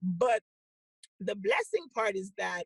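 A woman's somewhat breathy, medium-pitched voice, fairly slow, in a dry, close sound with no echo. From Haiti. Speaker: entrepreneur and business coach. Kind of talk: interview.

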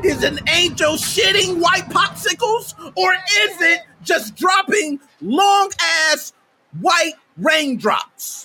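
A man shouting at an extremely high pitch, very slow, with very even loudness and ordinary pitch variation. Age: 30s. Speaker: gaming streamer. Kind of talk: live stream rant. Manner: animated.

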